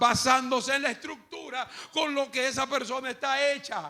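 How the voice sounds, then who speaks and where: Over noticeable background noise, a man speaks in an extremely high voice at a moderate pace with fairly even intonation. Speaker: pastor. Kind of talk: sermon teaching. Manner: calm, measured pace.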